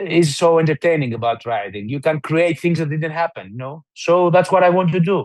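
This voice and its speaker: The recording is dry and close, with no echo. A man speaks at a fairly high pitch with lively intonation. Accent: Greek. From southern Albania, Greek-speaking minority (Himara). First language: Greek. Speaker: novelist. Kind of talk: interview. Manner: halting, many fillers and restarts.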